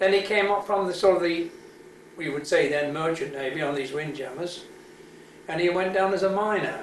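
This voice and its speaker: A man with a high pitch speaks at a fairly quick pace but with long, frequent pauses. Audible room echo and noticeable background noise surround him. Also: ordinary pitch variation. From Wales, Cardiff. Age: 70s. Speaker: army veteran. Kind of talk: oral history interview. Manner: halting.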